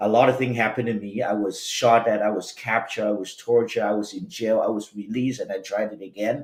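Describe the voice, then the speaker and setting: Talking at a very fast pace with hardly any pauses, a man holds a medium pitch and fairly even intonation over noticeable background noise. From Vietnam. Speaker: education business CEO and author. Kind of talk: podcast interview, life story.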